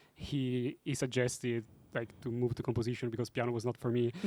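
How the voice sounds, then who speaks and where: A man with an Italian accent, medium-pitched and flat in a monotone, at a moderate pace. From Italy. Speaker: film composer. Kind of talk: panel discussion. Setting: stage with audience.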